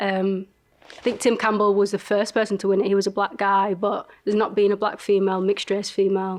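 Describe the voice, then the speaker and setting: A woman talks very fast in a strong Leeds accent at a medium pitch. Her delivery is monotone and flat, with very even loudness. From northern England, Leeds. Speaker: entrepreneur, reality show winner. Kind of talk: interview chat.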